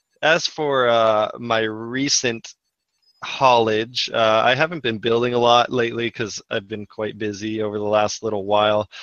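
In a Canadian accent, a man talks at a moderate pace with fairly even intonation, a dry sound with no echo and a quiet background. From Canada. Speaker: podcast co-host, LEGO collector; podcast guest. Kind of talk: casual chat. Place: home room. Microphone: video call.

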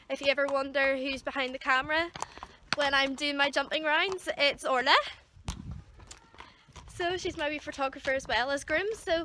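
Projecting a raised voice at a moderate pace, a woman speaks with ordinary pitch variation, the sound dry with no echo amid noticeable background noise. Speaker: horse rider vlogger. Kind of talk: casual vlog chat. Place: farm machine. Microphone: phone near.

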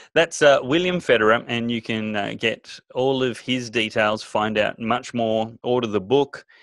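In an Australian accent, a man speaks with fairly even intonation in a dry sound with no echo against a quiet background. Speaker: talk show host. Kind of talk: interview. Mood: warm, appreciative. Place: home room. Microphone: studio mic.

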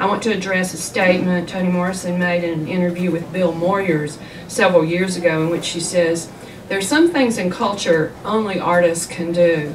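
Moderate pace and fairly even intonation from a woman with fairly low pitch, plus noticeable background noise. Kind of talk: lecture. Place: shop.

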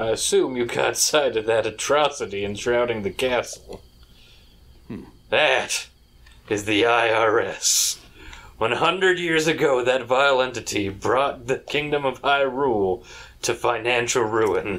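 A man performs a put-on character voice. It sits at a medium pitch and moves at a fairly slow pace. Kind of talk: comic overacting. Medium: game stream. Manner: mock-solemn, portentous.

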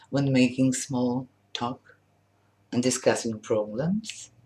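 A woman has a Polish accent. She talks at a very slow pace. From Poland. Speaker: language teacher. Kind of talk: sales pitch. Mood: warm, smiling, cheerful. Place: home room. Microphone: webcam.

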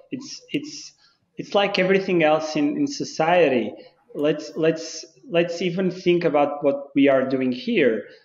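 In a room with audible echo, a man with a Portuguese accent talks at a fairly slow pace in a high voice, his pitch swinging very widely. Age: 30s. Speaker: football club licensing manager; guest. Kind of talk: casual interview. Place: office. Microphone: video call.

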